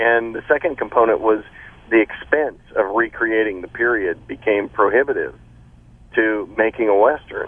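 A man with an American accent speaks at a moderate pace. His loudness stays very even. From Texas, Austin. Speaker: film actor. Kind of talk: casual chat.

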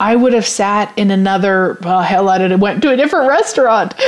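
With a Canadian accent, a woman speaks at a moderate pace in a fairly high pitch. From Canada, rural Saskatchewan. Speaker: podcast host, business coach. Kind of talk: casual solo talk show. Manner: animated, laughs often.

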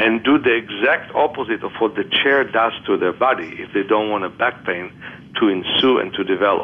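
Moving at a moderate pace, a man with a medium pitch and ordinary pitch variation uses a plain, everyday voice. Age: 60s. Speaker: author and vision therapist. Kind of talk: interview.

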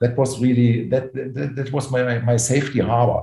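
This man talks at a moderate pace with a German accent. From Germany. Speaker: private equity executive. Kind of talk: interview. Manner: halting, many fillers.

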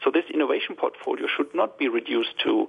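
A man keeps a moderate speed while background noise is clearly heard. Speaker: business innovation expert.

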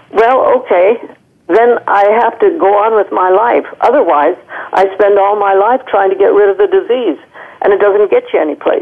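There is noticeable background noise behind a woman whose loudness stays very even. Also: moderate pace. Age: 90s. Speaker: holistic medicine physician. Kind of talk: casual interview.

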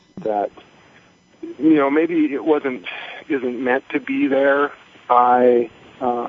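A man speaks over noticeable background noise. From North Dakota. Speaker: lean manufacturing specialist. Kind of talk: phone-in call. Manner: halting, many fillers.

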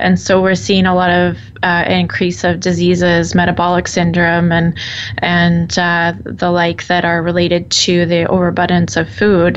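Moderate pace with noticeable background noise. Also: woman. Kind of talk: radio interview. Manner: casual, chatty, hesitant.

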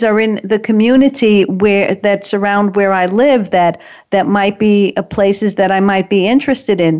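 A woman speaks at a moderate pace in a medium pitch with fairly even intonation and very even loudness, an ordinary speaking voice. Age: 60s. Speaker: radio show host and author. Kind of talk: talk radio discussion. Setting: remote studio link.

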